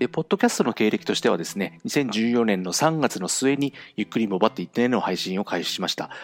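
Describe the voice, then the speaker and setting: In a dry, close recording with no echo, a man races along at a very fast pace with hardly any pauses, his medium-pitched voice showing lively intonation. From Japan, Fukuoka (Kyushu). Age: 40s. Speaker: podcast host. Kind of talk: solo monologue podcast. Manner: fast talker; nervous, hesitant with many fillers.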